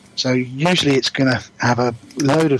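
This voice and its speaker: A man is speaking, and noticeable background noise can be heard throughout. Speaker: podcast host, wargaming hobbyist.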